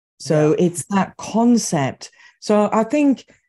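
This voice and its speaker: A woman speaks in a dark, mellow tone. Behind her the background is quiet. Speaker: EMDR therapist and trainer. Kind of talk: interview conversation. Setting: video call. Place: home room.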